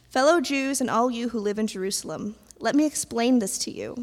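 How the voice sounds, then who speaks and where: A woman speaks in a high pitch at a moderate pace with ordinary pitch variation. The recording is very clean, with a silent background. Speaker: scripture reader. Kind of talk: reading aloud. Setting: church.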